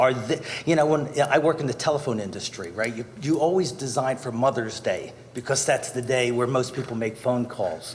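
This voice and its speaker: A man with ordinary pitch variation, plus audible room echo and noticeable background noise. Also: medium pitch for a man, moderate pace. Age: 60s. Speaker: resident speaking at public comment. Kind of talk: public comment at council meeting. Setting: council chambers. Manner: formal.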